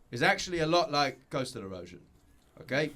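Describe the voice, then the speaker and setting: Over noticeable background noise, a man talks at a fairly quick pace with a fairly high pitch. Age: 30s. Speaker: stand-up comedian. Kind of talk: stand-up. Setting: stage with audience.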